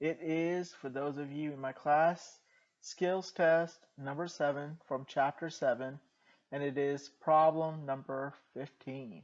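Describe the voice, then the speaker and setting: Against a quiet background, a man with a fairly high pitch talks at a fairly slow pace with fairly even intonation. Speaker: math teacher. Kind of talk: tutorial. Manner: calm, soothing.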